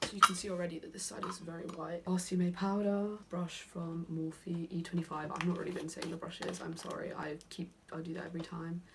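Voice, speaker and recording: A woman with a British accent talks at a fairly quick pace with monotone, flat intonation. Her pitch is fairly low, and noticeable background noise is present. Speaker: beauty vlogger. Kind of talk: makeup tutorial. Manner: fast.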